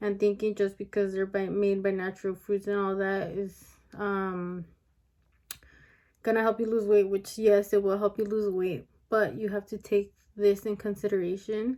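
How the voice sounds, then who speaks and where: A mumbling woman at medium pitch and a moderate pace, in a monotone, flat intonation, on a very clean recording with a silent background. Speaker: beauty and weight loss vlogger. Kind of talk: casual vlog monologue. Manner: hesitant with many fillers.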